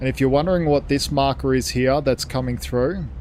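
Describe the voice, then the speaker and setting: A man with an Australian accent over noticeable background noise. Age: 70s. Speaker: gaming streamer. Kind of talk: live gameplay commentary. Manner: animated.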